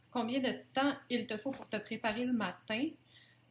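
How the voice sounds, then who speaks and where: A woman with a Quebec accent speaks at a fairly slow pace and high pitch, with ordinary pitch variation. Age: 20s. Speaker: YouTuber. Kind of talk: casual Q&A tag video.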